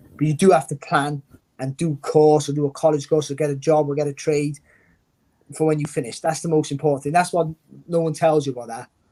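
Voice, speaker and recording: In a Welsh accent, the speaker talks at a very fast pace with a dark, mellow tone. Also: man, fairly high pitch for a man. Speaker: former boxer and boxing pundit. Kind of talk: interview. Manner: animated.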